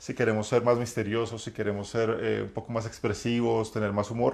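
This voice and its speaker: A man talks at a medium pitch. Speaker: role-playing game master and community host. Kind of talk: live-streamed talk. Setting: live stream. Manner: halting, many fillers.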